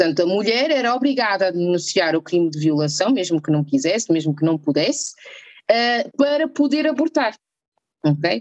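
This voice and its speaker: A woman talks at a moderate pace in a medium pitch. Her pitch swings very widely. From northern Portugal. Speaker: doctor (anesthesiologist). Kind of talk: casual interview chat.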